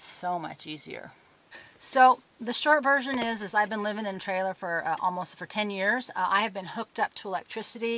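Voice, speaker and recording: A woman speaks at a fairly quick pace with a fairly high pitch, ordinary pitch variation, big swings in loudness, and a plain, everyday voice. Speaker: off-grid lifestyle vlogger. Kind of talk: casual vlog monologue.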